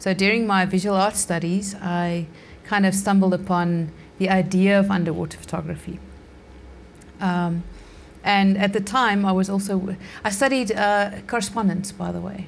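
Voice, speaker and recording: A woman speaks at a medium pitch in a somewhat breathy voice with monotone, flat intonation. Her pace is moderate, with long, frequent pauses. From South Africa. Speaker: underwater portrait photographer. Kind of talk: casual interview. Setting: remote call.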